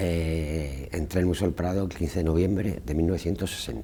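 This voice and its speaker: A man speaks with fairly even intonation. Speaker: retired museum carpenter and former lift operator. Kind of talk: oral history interview answer. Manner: casual, anecdotal.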